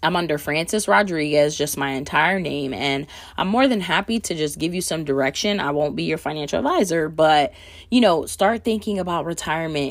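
A woman with a very deep, low pitch and vocal fry talks at a fairly quick pace with lively intonation and an animated tone, in a very clean recording with a silent background. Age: 30s. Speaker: podcast host. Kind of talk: casual monologue.

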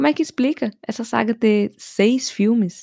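A woman with a Brazilian accent has a dark, mellow tone, heard in a dry, close sound with no echo. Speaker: podcast host. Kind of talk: comedic solo podcast monologue.

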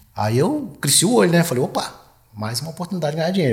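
The man sounds somewhat breathy. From Goiás, Brazil. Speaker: retired military police colonel. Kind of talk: casual interview chat. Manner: halting, repeats words.

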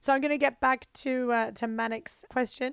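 A woman with an Australian accent and a fairly high pitch talks at a moderate pace with ordinary pitch variation in a very clean recording with a silent background. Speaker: comedian and podcast co-host. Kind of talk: casual chat.

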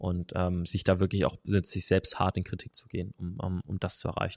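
Very deep and low in pitch, a man's voice comes with monotone, flat intonation in a dry, close sound with no echo on a very clean recording with a silent background. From Hesse, Germany. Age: 20s. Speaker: strength and conditioning coach. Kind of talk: casual interview. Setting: in person.

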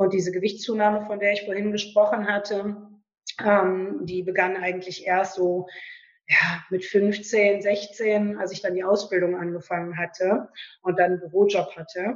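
A woman's medium-pitched, monotone, flat delivery at a moderate pace. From western Germany, Lower Rhine near Düsseldorf. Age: 30s. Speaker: author. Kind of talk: interview, personal testimony. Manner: hesitant, many fillers.

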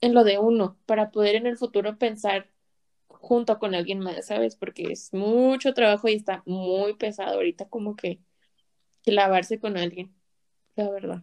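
A woman's fairly high-pitched, plain, everyday voice at a moderate pace, with fairly even intonation, in a dry, close sound with no echo. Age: 20s. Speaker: guest. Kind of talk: casual chat.

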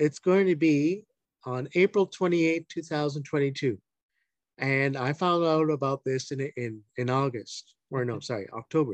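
In a normal speaking voice with a Canadian accent, a man talks at a fairly slow pace and a fairly high pitch with ordinary pitch variation, the sound dry and close with no echo. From Ontario, Canada (Hamilton). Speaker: deacon. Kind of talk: interview.

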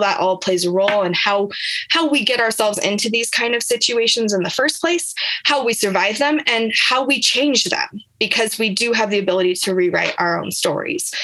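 A woman speaks in a fairly high voice at a fairly quick pace. Her intonation is lively. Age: 30s. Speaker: online business coach. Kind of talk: interview. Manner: animated.

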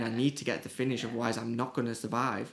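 A man with a Teesside accent in a very clean recording with a silent background. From northern England, Teesside (Middlesbrough). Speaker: music promoter. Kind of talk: casual interview.

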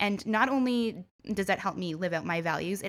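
The recording is very clean, with a silent background. Speech comes at a moderate pace. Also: woman. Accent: Ontario. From small-town Ontario, Canada. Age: 30s. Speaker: tourism consultant and entrepreneur. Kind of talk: interview.

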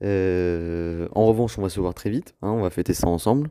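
Speaking at a moderate pace, the man has a very deep, low pitch, a dark and mellow tone, and fairly even intonation. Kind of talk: recorded birthday voice message. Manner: flat, low-energy; hesitant, filler-heavy.

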